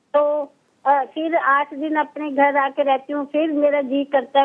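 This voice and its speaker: Her pitch high, a woman speaks with monotone, flat intonation. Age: 60s. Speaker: caller. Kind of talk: phone-in question. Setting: phone call.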